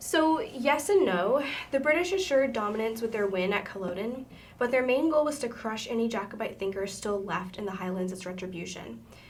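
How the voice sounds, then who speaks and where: A woman's lively intonation rings out with audible room echo around her. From Appalachia. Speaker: podcast host. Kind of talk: casual educational presentation. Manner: halting, with filler words.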